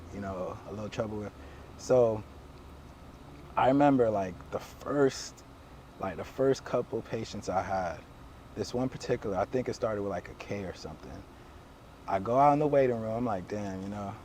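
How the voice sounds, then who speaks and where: A man with a fairly low voice pauses long and often while noticeable background noise runs behind him. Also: ordinary pitch variation, moderate pace. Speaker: chiropractor. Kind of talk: casual storytelling conversation. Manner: stutters, hesitant speech with fillers.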